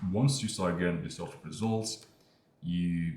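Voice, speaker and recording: A man speaks with a very deep, low voice. Room echo can be heard. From Morocco. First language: not English (Moroccan). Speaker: online business creator. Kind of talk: casual talking-head monologue. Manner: casual, hesitant with fillers.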